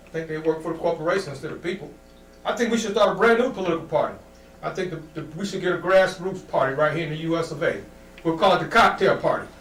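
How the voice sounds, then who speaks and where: With an American accent and a high pitch, a man races along at a very fast pace with ordinary pitch variation, amid audible room echo and noticeable background noise. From Ohio, US Midwest (Akron). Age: 60s. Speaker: comedian. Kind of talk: stand-up. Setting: studio.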